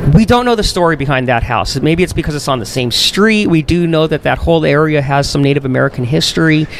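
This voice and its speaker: Against noticeable background noise, a man with a fairly high voice talks very fast with lively intonation. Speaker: paranormal investigator. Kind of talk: casual chat. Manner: loud.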